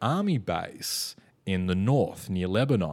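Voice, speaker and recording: This man has an Australian accent and a fairly low pitch. He talks at a fairly slow pace. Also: very clean recording, silent background. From Melbourne, Australia. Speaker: stand-up comedian. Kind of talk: casual chat.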